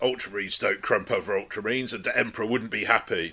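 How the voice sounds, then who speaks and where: Putting on a gruff character voice, a man speaks at a medium pitch. His pace is very fast. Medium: read story. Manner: gruff, barking.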